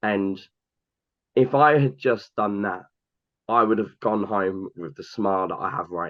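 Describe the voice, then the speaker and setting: Big swings in loudness mark a man's fairly slow speech. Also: fairly low pitch for a man, ordinary pitch variation. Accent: London. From England, Cambridge area. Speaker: hockey fan, airport worker. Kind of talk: casual podcast interview. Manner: animated, with frequent fillers.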